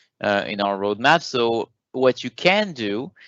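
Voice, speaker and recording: A man with a French accent and a medium pitch. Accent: French accent, noticeable. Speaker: software program manager presenting a webinar. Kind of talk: webinar Q&A answering questions. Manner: hesitant, many filler sounds.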